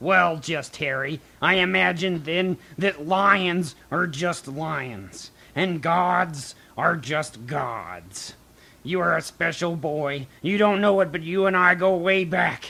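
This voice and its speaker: Using a put-on character voice, a man speaks raspy and high-pitched at a fairly slow pace with ordinary pitch variation. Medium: read story.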